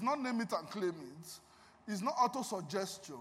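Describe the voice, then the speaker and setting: Against noticeable background noise, a man with a high pitch speaks at a moderate pace with lively intonation. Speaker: guest preacher and music minister. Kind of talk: sermon. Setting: church with congregation. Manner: animated.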